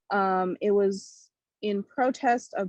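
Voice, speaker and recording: Recorded dry and close with no echo, a woman with an American accent speaks at a medium pitch in a monotone, flat intonation. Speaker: podcast host. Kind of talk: casual podcast talk.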